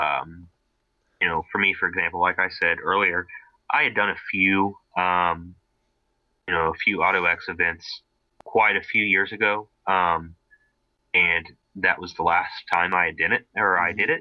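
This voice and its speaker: With an American accent, a man talks at a moderate pace, leaving long, frequent pauses. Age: 20s. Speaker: car enthusiast co-host, auto mechanics student. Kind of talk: casual chat.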